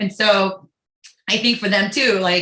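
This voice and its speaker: Loud female voice at a medium pitch with a bright, sharp tone. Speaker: state legislator on a panel. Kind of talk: panel discussion.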